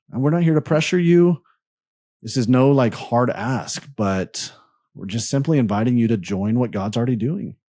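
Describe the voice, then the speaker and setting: A man speaks at a moderate pace and medium pitch with a dark, mellow tone. His intonation is lively, and the recording is very clean with a silent background. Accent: American. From US South, Birmingham, Alabama. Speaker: podcast host. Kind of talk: interview chat; donation appeal.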